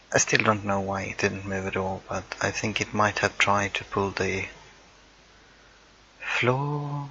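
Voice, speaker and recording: Speaking with a non-native accent at a fairly slow pace, a man leaves long, frequent pauses over noticeable background noise. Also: ordinary pitch variation. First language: not English. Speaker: gaming YouTuber. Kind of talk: timelapse build commentary. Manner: casual, hesitant with fillers.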